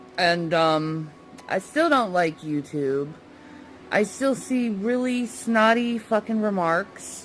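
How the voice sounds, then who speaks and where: Over music in the background, a woman talks at a very slow pace in a medium pitch with very wide pitch swings. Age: 30s. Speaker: vlogger. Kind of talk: casual vlog. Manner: halting, repeats words.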